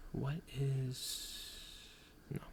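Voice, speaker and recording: Noticeable background noise sits behind the voice. A man speaks softly. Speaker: ASMR creator. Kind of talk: ASMR casual talk to viewer. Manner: soft-spoken.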